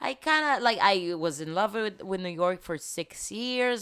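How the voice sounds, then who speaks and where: A woman with an Israeli accent speaks with very wide swings in pitch. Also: very clean recording, silent background. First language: Hebrew. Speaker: TV journalist. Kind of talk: casual chat.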